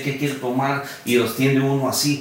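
A man speaks at a fairly high pitch. Noticeable background noise and audible room echo fill the recording. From California, US. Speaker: charro association founder. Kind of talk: casual interview.

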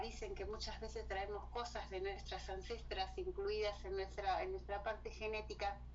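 The speaker talks at a moderate pace in a Rioplatense accent. The recording has audible room echo and noticeable background noise. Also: woman. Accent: Argentine Rioplatense Spanish. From Argentina. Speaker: writer and cultural promoter. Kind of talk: casual interview. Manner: halting, with many fillers.

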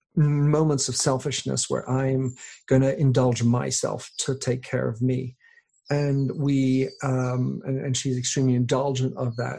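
A man's somewhat breathy, dark and mellow voice at medium pitch, flat and monotone in intonation. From England. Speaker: author and podcaster. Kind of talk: interview. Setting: remote call.

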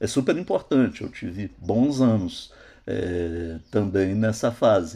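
A very slow man's voice with a fairly low pitch. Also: lively intonation. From Minas Gerais, Zona da Mata, Brazil. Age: 60s. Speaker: graphic designer and illustrator. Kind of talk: interview. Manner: halting, frequent hesitations.

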